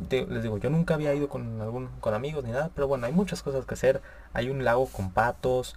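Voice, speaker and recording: A man with a northern Mexican accent. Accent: northern Mexican (Monterrey) Spanish. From Monterrey, Nuevo León, Mexico. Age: young. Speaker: podcast host. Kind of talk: casual solo talk show monologue. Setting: live stream. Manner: casual, slangy, with filler hesitations.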